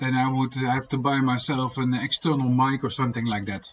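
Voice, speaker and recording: A man speaks in a Dutch accent. His pitch sits at a medium level. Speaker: homesteading vlogger. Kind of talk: casual livestream chat. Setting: livestream. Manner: soft-spoken; halting. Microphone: laptop microphone, low volume.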